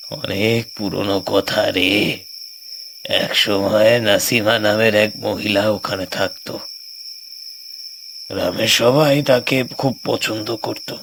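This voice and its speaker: Over clear background noise, a man puts on a cartoonish character voice at a fairly low pitch and a very slow pace. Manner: solemn, ominous storytelling.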